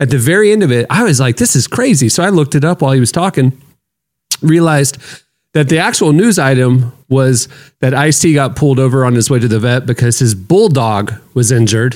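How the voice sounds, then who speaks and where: Keeping his loudness very even, a man speaks at a fairly quick pace in a plain, everyday voice. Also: medium pitch for a man, lively intonation. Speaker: podcast host. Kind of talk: casual chat.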